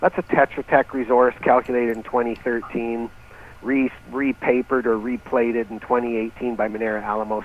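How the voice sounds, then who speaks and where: Noticeable background noise sits behind a man speaking at medium pitch. He talks at a fairly quick pace with monotone, flat intonation. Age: 60s. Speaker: mining company CEO. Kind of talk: interview. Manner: halting, repeats words.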